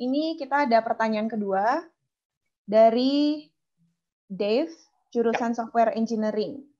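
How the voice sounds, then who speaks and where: A woman's fairly high voice, dark and mellow in tone, with ordinary pitch variation against a quiet background. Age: young. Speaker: webinar MC. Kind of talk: moderating Q&A, reading out questions. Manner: casual, enthusiastic. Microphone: video call.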